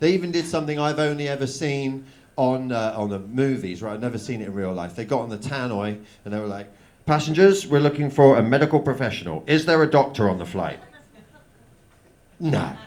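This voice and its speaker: A man of medium pitch with a southern English accent at a fairly quick pace, with lively intonation, big swings in loudness and audible room echo. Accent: southern English, noticed in Manchester. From southern England, Oxford. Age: 30s. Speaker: stand-up comedian. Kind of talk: stand-up. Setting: stage with audience.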